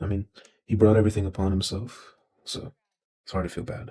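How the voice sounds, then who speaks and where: Man with a dark, mellow tone, fairly low pitch, somewhat breathy, monotone flat intonation, fairly quick pace and big swings in loudness. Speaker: YouTube commentator. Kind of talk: interview.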